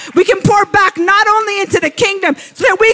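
A man with an extremely high pitch uses a raised, projected voice with ordinary pitch variation. He keeps a moderate pace, and the sound is dry and close with no echo. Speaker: preacher. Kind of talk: sermon, personal and conversational teaching.

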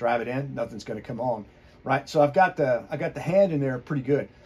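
A somewhat breathy man at a fairly quick pace. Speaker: firearms instructor. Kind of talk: tutorial. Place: workshop.

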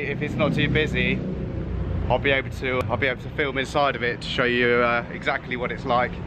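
Background noise is clearly audible as a man talks at a moderate speed. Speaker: travel vlogger. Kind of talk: casual vlog chat. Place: street. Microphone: phone near.

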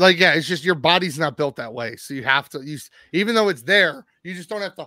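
It is an unforced reading voice. The background stays quiet.

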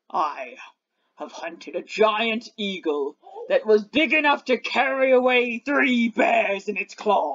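The speaker puts on a character voice with a fairly high pitch. The pace is fairly slow. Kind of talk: tabletop game master voicing a monster. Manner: boastful, proud.

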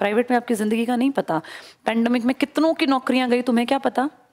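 A woman speaks at a moderate pace in a high voice with ordinary pitch variation over a quiet background. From India. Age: 40s. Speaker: exam coaching teacher. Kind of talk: motivational classroom talk. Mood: earnest, personal, persuasive. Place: classroom. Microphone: headset.

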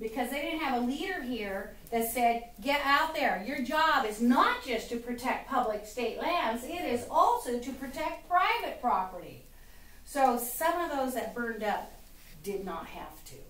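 In a room with audible echo, a woman with a high voice speaks fairly slowly, her intonation lively and her loudness swinging widely. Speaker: speaker. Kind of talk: political speech to audience. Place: stage. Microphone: camera far.

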